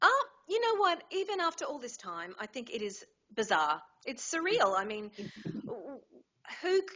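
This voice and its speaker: With an Australian accent, a woman of high pitch speaks at a moderate pace, using long, frequent pauses, big swings in loudness and very wide pitch swings. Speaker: voice actor. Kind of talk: interview answer.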